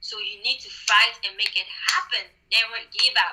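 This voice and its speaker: A woman with a non-native accent. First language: not English. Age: young. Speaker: beauty queen. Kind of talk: interview. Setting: video call. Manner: halting.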